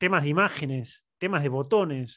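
Over a quiet background, a man speaks with a fairly high pitch, lively intonation and a fairly slow pace. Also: dry sound with no echo. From Argentina. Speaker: digital marketing professor and consultant; digital marketing professor. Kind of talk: webinar presentation. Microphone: headset.

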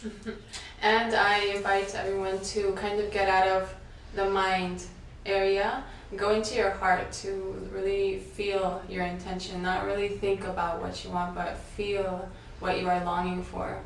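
At a moderate pace with a Spanish accent, the speaker keeps a monotone, flat intonation, leaving long, frequent pauses amid audible room echo and light background noise. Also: woman, medium pitch for a woman. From Mexico, Veracruz. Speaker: sound healer. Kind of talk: guided meditation. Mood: calm, soft, soothing. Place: home room.

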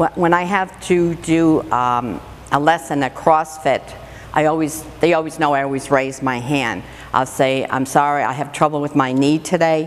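A woman's very deep, low pitch with fairly even intonation. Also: moderate pace. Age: 60s. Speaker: CrossFit athlete; interviewee. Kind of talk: interview. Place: gym.

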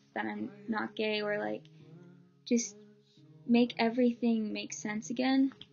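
A woman at a fairly slow pace, with faint music in the background. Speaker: vlogger. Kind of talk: personal story vlog. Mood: earnest, emotional. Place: home room. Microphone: webcam.

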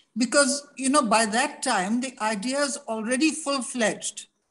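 With music in the background, the woman talks fairly slowly. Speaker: interview guest. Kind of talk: interview answer. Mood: calm, reflective. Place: home room. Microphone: video call.

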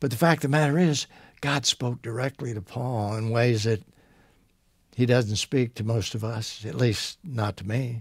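A somewhat breathy man talks at a moderate pace with ordinary pitch variation, against a quiet background with a dry sound and no echo. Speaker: Bible teacher. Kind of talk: Bible teaching talk. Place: studio.

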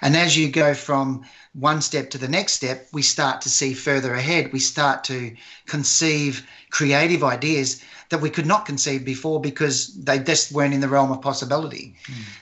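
In a plain, everyday voice, a man talks at a moderate pace, fairly high in pitch, with fairly even intonation. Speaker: photographer podcast co-host. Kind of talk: casual chat.

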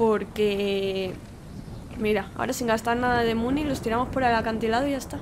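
A woman with a Spanish accent at a moderate pace, over noticeable background noise. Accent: Peninsular Spanish. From Spain. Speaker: gaming YouTuber; gaming streamer. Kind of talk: let's play commentary. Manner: animated. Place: home room. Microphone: studio mic.

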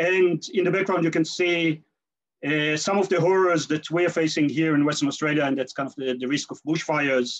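His speed is moderate. The man's pitch rises and falls in an ordinary way. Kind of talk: lecture. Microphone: video call.

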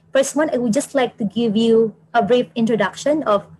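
Somewhat breathy, a woman's voice sits at a fairly high pitch. Its pitch variation is ordinary. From Philippines. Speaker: environmental planner and PhD student; presenter. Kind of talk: webinar presentation. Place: office.

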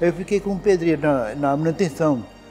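Fairly quick speech over faint music in the background. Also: man. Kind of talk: interview answer. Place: home room. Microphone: lapel.

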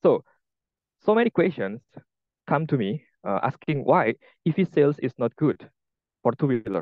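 A man with an Indonesian accent, fairly high in pitch, with very wide pitch swings, a moderate pace and long, frequent pauses. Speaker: EV engineer. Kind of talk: presentation. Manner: halting.

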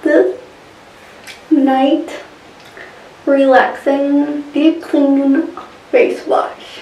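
A woman's high voice at a very slow pace, with ordinary pitch variation and audible room echo. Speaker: beauty vlogger. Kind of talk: casual vlog chat. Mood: relaxed, cheerful. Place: home room. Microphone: phone near.

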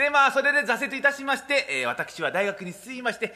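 Speaking very fast in a raised, projected voice, a man talks at an extremely high pitch. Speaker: rakugo performer (junior, apprentice of a senior master). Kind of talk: rakugo opening routine (makura) to a live audience. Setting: live theater hall. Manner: chatty, humorous, audience-interacting. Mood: jovial, smiling, self-deprecating. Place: stage. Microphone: podium.

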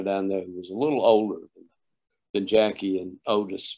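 In a Southern US accent, a man speaks at a fairly low pitch against a quiet background. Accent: Southern US (Georgia). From US South, Oglethorpe County, Georgia; Georgia. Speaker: sound engineer and producer; guest. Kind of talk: interview. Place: home room. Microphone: video call.

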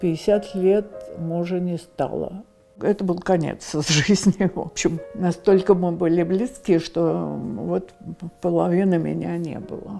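A woman's fairly low voice at a very slow pace, with ordinary pitch variation and faint music in the background. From Moscow. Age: 80s+. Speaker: elderly homeowner interviewee. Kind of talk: interview answer. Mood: reflective, warm storytelling.

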